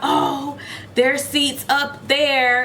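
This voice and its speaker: A woman uses a put-on character voice pitched high, delivered in a flat monotone. Clear background noise runs underneath. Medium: solo performance. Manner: overly friendly, reassuring.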